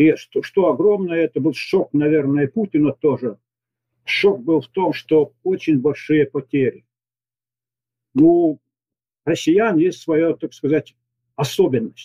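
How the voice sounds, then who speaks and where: In a dry, close sound with no echo, a man with a fairly high pitch and a dark, mellow tone talks very slowly with ordinary pitch variation, leaving long, frequent pauses. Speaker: retired military commander, expert. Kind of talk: recorded interview answering questions. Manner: halting, with stumbles.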